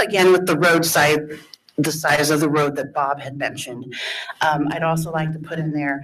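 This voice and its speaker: Audible room echo surrounds a woman whose very deep, low pitch stays monotone and flat as she speaks at a moderate pace. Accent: American. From northern Indiana. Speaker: resident speaking at public hearing. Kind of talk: public comment at zoning hearing. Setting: public meeting room. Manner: loud.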